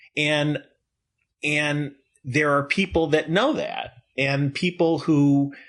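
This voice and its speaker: A man with an American accent talks at a very slow pace in a fairly high pitch. The background is quiet. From northern New Jersey. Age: 60s. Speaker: animation director and producer. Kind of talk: podcast interview. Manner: halting.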